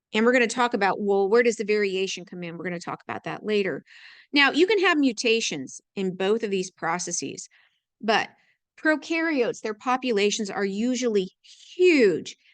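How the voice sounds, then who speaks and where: The background is quiet. The voice makes very wide pitch swings. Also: woman, fairly high pitch for a woman. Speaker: biology teacher. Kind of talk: lecture. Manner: fast; halting.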